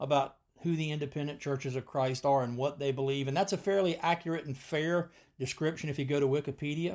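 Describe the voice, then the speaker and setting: At a fairly quick pace, a man with an ordinary speaking voice talks at a fairly high pitch with fairly even intonation, on a very clean recording with a silent background. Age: 50s. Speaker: podcast host and preacher. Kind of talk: solo podcast monologue.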